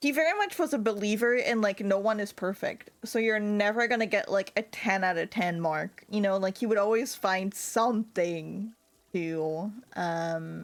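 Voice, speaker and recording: This woman talks with an American accent. Her pitch varies in an ordinary way, and her loudness stays very even. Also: medium pitch for a woman, moderate pace. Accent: sounds American. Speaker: VTuber streamer. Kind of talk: casual chat while gaming livestream. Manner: animated, lots of fillers.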